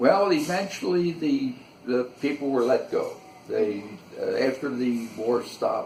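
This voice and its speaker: Fairly slow male speech over noticeable background noise. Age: 80s+. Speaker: interviewee recalling history. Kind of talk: interview. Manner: halting.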